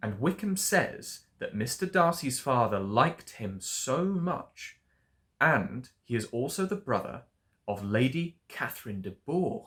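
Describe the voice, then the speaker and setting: A man with an RP accent, fairly high in pitch, with an upbeat tone, very wide pitch swings and a fairly slow pace, on a very clean recording with a silent background. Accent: Received Pronunciation. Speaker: English tutor. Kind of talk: storytelling book reading for learners. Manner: upbeat, expressive.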